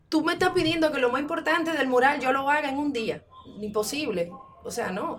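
The speaker's intonation is lively and the pace fairly quick, with noticeable background noise behind. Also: woman, high pitch for a woman. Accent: Dominican. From Dominican Republic. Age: 40s. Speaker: muralist and art teacher. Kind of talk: interview.

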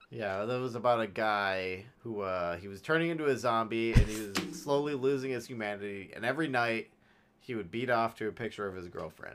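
A man talks at a fairly quick pace with a medium pitch and ordinary pitch variation. His loudness swings widely, and music plays in the background. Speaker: podcast co-host. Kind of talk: casual chat.

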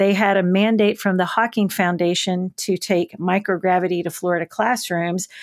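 With a Southern US accent, a woman speaks at a moderate pace and medium pitch in a very clean recording with a silent background and a dry, close sound with no echo. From rural West Tennessee, US South. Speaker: children's TV host and educator. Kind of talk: interview. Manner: animated.

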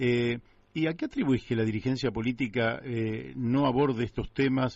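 The speaker talks fairly slowly in a Rioplatense accent, keeping the intonation fairly even. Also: man. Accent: Argentine Spanish (rioplatense). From Buenos Aires, Argentina. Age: 60s. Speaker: radio host. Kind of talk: radio interview.

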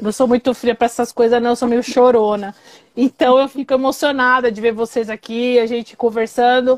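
A woman talks at a fairly quick pace and a high pitch. The sound is dry and close, with no echo. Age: 40s. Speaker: live show host. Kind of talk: casual chat. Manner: animated.

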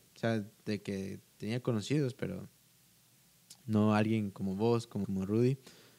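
A man's fairly low-pitched, dark, mellow voice at a fairly slow pace, with ordinary pitch variation and long, frequent pauses. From Guatemala. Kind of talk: casual chat.

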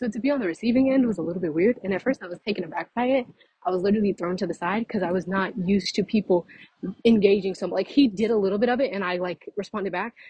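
Rushing very fast, a woman speaks with pitch that varies in an ordinary way. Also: medium pitch for a woman. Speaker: podcaster. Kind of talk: casual monologue. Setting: outdoors, walking.

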